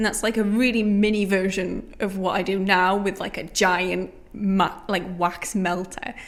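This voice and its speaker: With a Geordie accent, a woman speaks at a fairly slow pace in a monotone, flat intonation with hardly any pauses. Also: medium pitch for a woman. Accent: Geordie (Newcastle). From northern England, Newcastle. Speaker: small business founder. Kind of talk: podcast interview.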